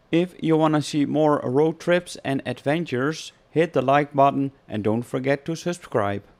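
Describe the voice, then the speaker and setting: A man with a Dutch accent speaks at a moderate pace in a fairly high pitch, with ordinary pitch variation and hardly any pauses. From Netherlands. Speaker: travel vlogger. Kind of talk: travel vlog narration.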